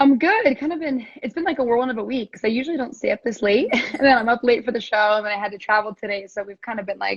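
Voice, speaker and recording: A woman's fairly high voice at a very fast pace. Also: ordinary pitch variation, hardly any pauses. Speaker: pro surfer and reality show contestant. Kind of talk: casual interview chat.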